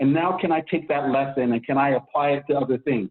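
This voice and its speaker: With an American accent, a man talks at a moderate pace in a fairly high pitch. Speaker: consultant and strategist, military veteran. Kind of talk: podcast interview. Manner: conversational, with frequent fillers.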